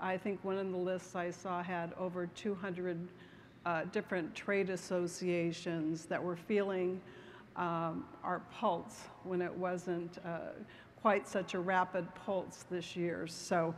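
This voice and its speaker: Over light background noise, a woman with a fairly low pitch speaks at a very slow pace in a monotone, flat intonation. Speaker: real estate executive. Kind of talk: conference speech. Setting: stage with audience. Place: hall. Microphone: podium.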